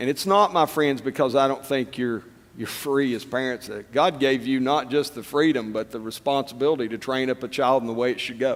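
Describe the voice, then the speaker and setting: The pace is fairly quick, with hardly any pauses. Pitch variation is ordinary. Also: man, medium pitch for a man. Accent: East Tennessee. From East Tennessee. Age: old. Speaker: political candidate. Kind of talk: political forum speech. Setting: stage with audience.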